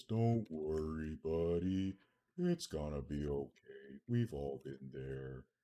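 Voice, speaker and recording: Putting on a character voice, a man speaks very slowly at a very deep, low pitch. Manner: calm, reassuring.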